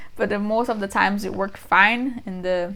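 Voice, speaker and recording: A woman speaks at medium pitch with a strong Brazilian accent. Her intonation stays fairly even. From Brazil, São Paulo. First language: Portuguese. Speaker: vlogger. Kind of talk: casual talk to camera. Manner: fast.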